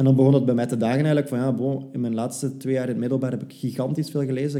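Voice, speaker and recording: A man talks very fast in a dark, mellow tone. His intonation stays flat and monotone. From Belgium, West Flanders. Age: 20s. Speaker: PR consultant. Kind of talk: interview.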